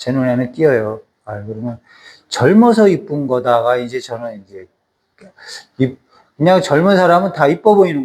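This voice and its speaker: A man's voice with very wide pitch swings. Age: 60s. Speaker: Bible teacher. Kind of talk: sermon. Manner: casual, conversational.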